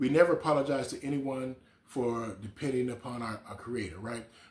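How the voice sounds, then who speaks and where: A man talks with a medium pitch. His voice is somewhat breathy. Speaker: recovery coach. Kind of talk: motivational talk. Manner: casual, repetitive filler.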